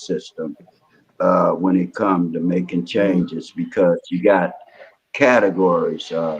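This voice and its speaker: A man speaks at a fairly slow pace with a very deep, low pitch. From Los Angeles, US West Coast. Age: 60s. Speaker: community activist, former prisoner. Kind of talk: interview.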